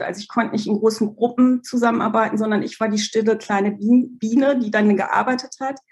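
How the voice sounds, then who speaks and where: Her voice is fairly high and somewhat breathy. The woman talks at a fairly quick pace with fairly even intonation. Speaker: brand coach. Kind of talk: podcast interview.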